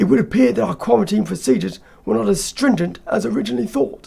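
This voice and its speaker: A man shouts in a raspy, put-on character voice at a high pitch. He races at a very fast pace, his pitch swinging very widely. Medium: read story. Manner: shouting over noise.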